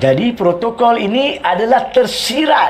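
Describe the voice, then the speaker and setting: Speaking with a Malaysian accent, a man uses a high pitch and very wide pitch swings. He talks at a fairly slow pace with light background noise. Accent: Malaysian Malay. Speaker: lawyer and legal commentator. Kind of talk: talk show legal explanation answering viewer questions. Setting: live talk show. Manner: explanatory, rhetorical. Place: studio. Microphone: lapel.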